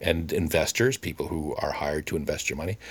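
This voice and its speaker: At a fairly quick pace, a man speaks in an animated tone. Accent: Canadian. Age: 50s. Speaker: podcaster. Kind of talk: monologue.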